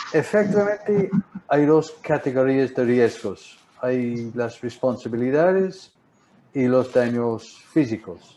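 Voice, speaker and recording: A man speaks at a very slow pace in a medium pitch. He has a strong non-native accent. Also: lively intonation. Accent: strong English-speaker accent in Spanish. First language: English (speaking Spanish). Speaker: marine insurance broker. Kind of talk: webinar presentation. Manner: halting, repeats words.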